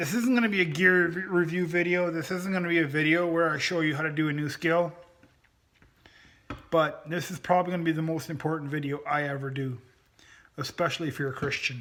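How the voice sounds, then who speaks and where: The delivery is fairly quick, with ordinary pitch variation. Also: man, fairly high pitch for a man. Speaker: bushcraft and prepping YouTuber. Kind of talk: casual talk to camera. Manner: passionate, volume rises at times.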